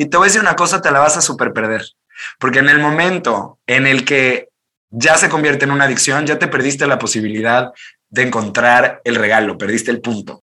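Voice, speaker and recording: At a fairly quick pace, a man speaks in a fairly high, bright, sharp tone with ordinary pitch variation. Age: 30s. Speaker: life coach. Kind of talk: interview conversation. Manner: fast, animated.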